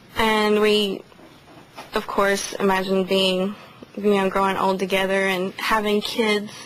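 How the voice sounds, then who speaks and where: Speech with an American accent comes at a fairly slow pace in a monotone, flat intonation and very even loudness, with audible room echo. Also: woman, medium pitch for a woman. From western North Carolina, Haywood County. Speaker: widow speaking to the press. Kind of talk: press conference statement and answers.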